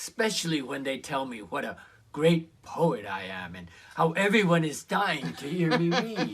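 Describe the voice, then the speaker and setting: At a fairly slow pace, a man with a fairly high pitch and vocal fry speaks with very wide pitch swings. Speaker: actor in a virtual play reading. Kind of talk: virtual play reading, dialogue scene.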